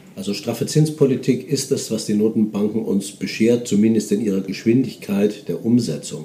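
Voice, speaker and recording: Here a man talks at a moderate pace with hardly any pauses. His voice is medium in pitch and dark and mellow in tone. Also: ordinary pitch variation. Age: 50s. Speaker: portfolio manager. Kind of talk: interview. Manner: hesitant with fillers.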